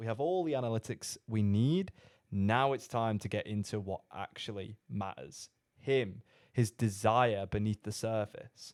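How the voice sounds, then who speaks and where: A man's fairly low voice with a British accent, fairly slow with ordinary pitch variation, dry and close with no echo in a very clean recording with a silent background. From Britain. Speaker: sales coach. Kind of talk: commentary on a recorded call.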